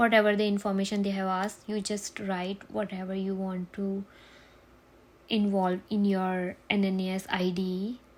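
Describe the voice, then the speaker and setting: In a Gujarati accent, a woman speaks at a medium pitch in monotone, flat intonation. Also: moderate pace. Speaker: nurse, tutorial creator. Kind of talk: tutorial.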